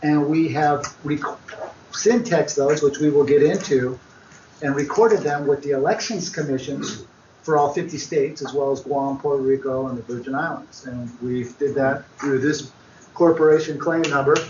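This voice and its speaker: A man with a fairly high voice and ordinary pitch variation talks at a moderate tempo amid noticeable background noise. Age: 40s. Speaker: seminar co-presenter. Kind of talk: seminar talk.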